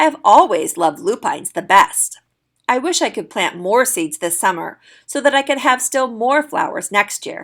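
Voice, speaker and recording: A raspy, put-on character voice at a moderate pace, with very wide pitch swings. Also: woman, high pitch for a woman. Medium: read story.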